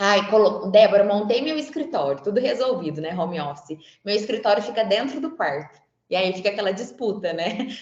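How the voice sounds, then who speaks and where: A woman's voice at a fairly quick pace, with very wide pitch swings. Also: medium pitch for a woman. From Franca, interior of São Paulo state, Brazil. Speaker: psychologist and career coach. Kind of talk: webinar talk. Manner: conversational, frequent filler words.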